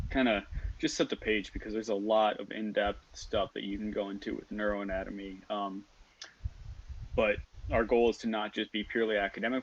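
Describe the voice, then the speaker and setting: With a Minnesotan accent, a man speaks at a moderate pace in a fairly low pitch. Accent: Minnesotan, stretched O sounds. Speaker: student team lead. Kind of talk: casual interview. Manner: deadpan.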